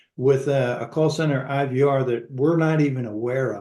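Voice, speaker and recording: This is an ordinary speaking voice from a man, fairly high in pitch. He talks at a moderate pace with ordinary pitch variation. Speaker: webinar host.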